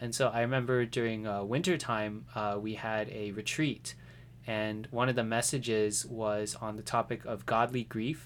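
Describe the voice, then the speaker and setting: An American man speaks with an ordinary speaking voice at medium pitch. His pace is moderate and his intonation fairly even. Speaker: podcast guest. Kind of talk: casual chat.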